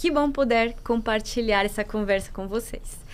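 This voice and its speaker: In a room with audible echo, a woman with a Colombian accent is talking. Her voice is high, and her pace is moderate. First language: Spanish (speaking Portuguese). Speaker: moderator, foundation studies manager. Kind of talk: moderated panel discussion.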